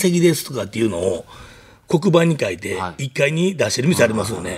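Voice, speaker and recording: Speaking at a fairly quick pace, a man's voice makes very wide pitch swings. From Kansai, Japan. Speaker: restaurant owner. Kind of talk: casual interview.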